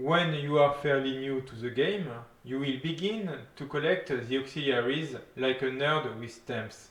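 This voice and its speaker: A man with a French accent talks at a fairly slow pace and a fairly high pitch, with ordinary pitch variation. His loudness swings widely, and background noise is noticeable. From France. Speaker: gaming YouTuber. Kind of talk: game guide narration.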